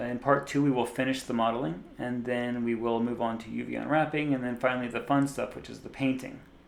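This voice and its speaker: A man with an American accent talks at a very fast pace with hardly any pauses. His loudness swings widely, and there is audible room echo. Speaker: 3D artist and tutorial creator. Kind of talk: software tutorial. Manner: casual, with frequent fillers and repeats.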